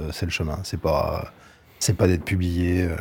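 On a very clean recording with a silent background, a man talks in a dark, mellow, somewhat breathy tone. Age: 50s. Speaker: novelist. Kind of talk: interview. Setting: studio.

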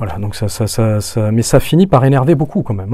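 This man rattles along at a very fast pace. His medium-pitched voice has lively intonation. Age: 40s. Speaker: podcast guest, descendant of a noble family. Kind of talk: interview conversation. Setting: studio. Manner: hesitant, many repetitions.

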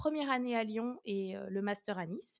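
A normal speaking voice with lively intonation comes through in a very clean recording with a silent background. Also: woman. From France, Orléans. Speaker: mathematics researcher and lecturer. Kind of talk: interview.

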